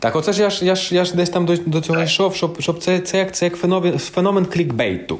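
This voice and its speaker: A man with a high pitch speaks at a fairly quick pace, his loudness very even and his intonation fairly even. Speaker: orchestra conductor. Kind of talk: interview.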